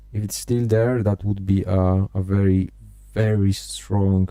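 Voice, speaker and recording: A man speaks at a fairly slow pace with a non-native accent, his very deep voice dark and mellow in tone, his intonation monotone and flat. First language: not English. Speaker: day trading streamer. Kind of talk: live trading stream commentary. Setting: live stream. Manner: halting, frequent repetitions and fillers.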